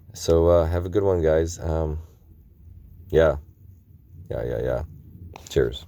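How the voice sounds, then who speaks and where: A man's very deep, low voice with a dark, mellow tone, ordinary pitch variation, a very slow pace and long, frequent pauses. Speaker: independent news vlogger. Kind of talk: casual vlog commentary. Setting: travelling, in Las Vegas. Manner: halting with fillers.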